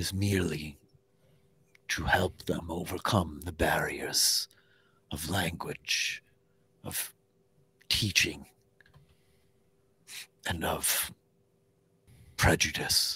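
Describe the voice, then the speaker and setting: A put-on character voice whispers in a solemn tone. It moves at a very slow pace with long, frequent pauses. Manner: solemn, measured.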